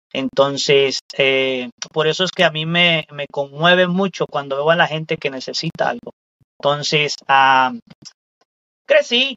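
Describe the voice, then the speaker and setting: Using a plain, everyday voice, a man talks at a fairly slow pace with ordinary pitch variation. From Mexico, Veracruz state. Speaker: rideshare driver. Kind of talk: casual interview chat.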